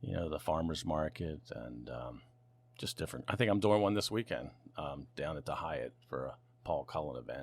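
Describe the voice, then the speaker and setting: In an American accent, a man with a very deep, low voice and vocal fry talks at a moderate pace with lively intonation. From US Mid-Atlantic, Lewes, Delaware. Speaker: auctioneer and real estate broker. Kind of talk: interview conversation.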